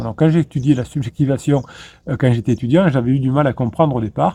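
A man talks at a fairly quick pace in a medium pitch with ordinary variation. His tone is dark and mellow, and somewhat breathy. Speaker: relationship coach. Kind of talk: video monologue. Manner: fast; halting, repeated words.

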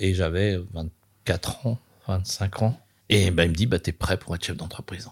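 A man's very deep, low, somewhat breathy voice at a fairly slow pace with ordinary pitch variation, in a dry, close sound with no echo on a very clean recording with a silent background. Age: 50s. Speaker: chef and restaurant owner. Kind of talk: casual interview. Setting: restaurant. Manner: animated.

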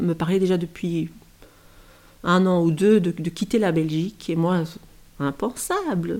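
A woman speaks very slowly in a dark, mellow tone. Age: 40s. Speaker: former maths teacher. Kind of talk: personal testimony. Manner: halting, many hesitations.

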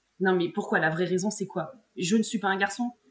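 A woman's medium-pitched voice, fairly quick in pace and fairly even in intonation. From central France, Morvan countryside. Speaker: grappling world champion and university teacher. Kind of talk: casual interview. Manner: halting, many repetitions and fillers.

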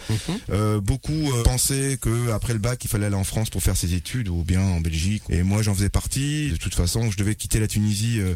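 A man's fairly low, dark, mellow voice at a fairly quick pace, with ordinary pitch variation. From Tunisia. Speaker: record shop owner and DJ. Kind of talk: interview.

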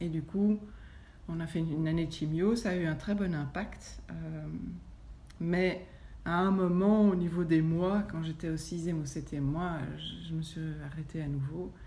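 Pausing long and often, a woman speaks at a fairly slow pace with a fairly low pitch, a somewhat breathy, dark, mellow tone, and fairly even intonation, with audible room echo. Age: 40s. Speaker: yoga teacher. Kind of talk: testimony. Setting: at her home.

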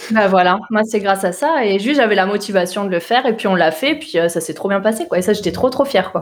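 A woman's very fast, energetic delivery with lively intonation and hardly any pauses. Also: medium pitch for a woman. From southern Alsace, France (Mulhouse). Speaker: tech recruitment entrepreneur. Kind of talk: interview.

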